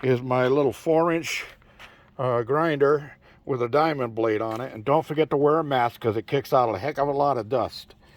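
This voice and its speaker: A man talks at a moderate pace in an ordinary speaking voice, with medium pitch and ordinary pitch variation. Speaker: off-grid desert homesteader. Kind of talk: casual talk to camera. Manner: relaxed, rambling.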